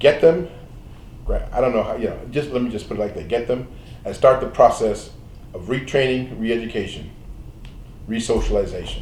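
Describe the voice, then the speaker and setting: With long, frequent pauses and big swings in loudness, a man talks at a fairly quick pace in a room with audible echo. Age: 70s. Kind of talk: panel interview. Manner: halting.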